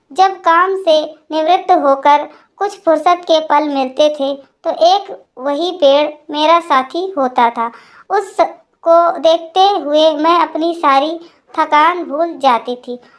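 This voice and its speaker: At a fairly slow pace, a woman speaks in an extremely high pitch. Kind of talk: emotional first-person storytelling. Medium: read story. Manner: soft, melancholy.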